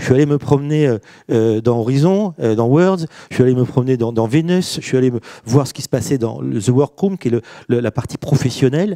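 This man has an ordinary speaking voice at a medium pitch, with ordinary pitch variation. He talks at a fairly quick pace against a quiet background. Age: 50s. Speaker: business executive and author; panelist. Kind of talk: panel discussion. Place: hall. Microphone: handheld.

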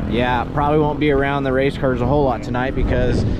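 Man's voice, dry with no echo, against loud background noise. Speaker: race car driver vlogger. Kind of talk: casual vlog chat. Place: street. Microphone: phone near.

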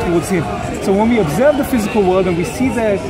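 A man speaks at a very fast pace while crowd noise carries in the background. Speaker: street debater. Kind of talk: debate argument. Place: street. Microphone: phone near.

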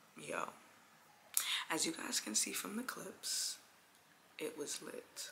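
Whispering at a fairly slow pace, a woman with a New York accent is heard over noticeable background noise. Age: 20s. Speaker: vlogger. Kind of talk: casual vlog talk. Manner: soft-spoken.

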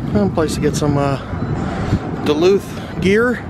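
A man at a very slow pace, dry sound with no echo, loud background noise behind him. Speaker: travel vlogger. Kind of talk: casual vlog chat. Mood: relaxed, cheerful. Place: street. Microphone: phone near.

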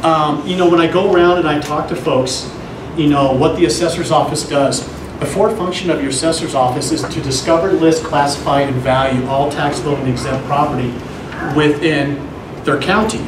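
Fairly quick, fairly even-toned speech from a man over noticeable background noise. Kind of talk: public meeting presentation. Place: meeting room. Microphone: camera far.

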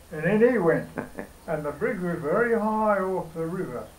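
Speaking with a rural Australian accent, a man has a high pitch and ordinary pitch variation. His pace is moderate. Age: 80s+. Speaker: elderly local recalling his past. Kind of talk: oral history interview answer. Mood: reminiscing, conversational. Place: home room. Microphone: camera far.

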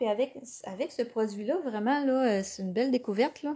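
A woman speaks with a dark, mellow tone. Her pitch is fairly high, with ordinary variation. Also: very clean recording, silent background. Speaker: scrapbooking instructor. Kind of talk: live craft tutorial. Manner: hesitant, many fillers.

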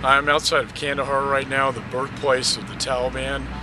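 A man at a moderate pace, in a dry sound with no echo and noticeable background noise. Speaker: politician visiting troops. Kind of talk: on-location statement to camera. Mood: proud, upbeat. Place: open country.

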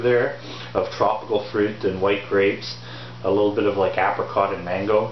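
A man talks at a fairly low pitch with little pitch movement, over clear background noise.

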